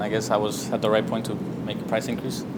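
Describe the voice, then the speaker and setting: A man with an American accent talks at a very fast pace. Audible room echo and noticeable background noise fill the recording. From Colorado, Aurora area. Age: 20s. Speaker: barber. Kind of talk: group coaching discussion.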